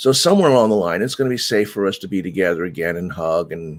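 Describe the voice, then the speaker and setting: Speech comes at a fairly quick pace with ordinary pitch variation. The recording is very clean, with a silent background. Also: man. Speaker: meditation teacher. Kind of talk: live stream announcements. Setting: live broadcast to Facebook and YouTube. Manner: halting.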